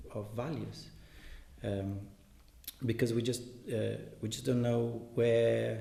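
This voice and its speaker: Speaking with a Portuguese accent, a man talks at a very slow pace with long, frequent pauses, and audible room echo surrounds his voice. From Brazil. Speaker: translator and reader. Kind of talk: commented reading aloud. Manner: halting, many fillers and repetitions.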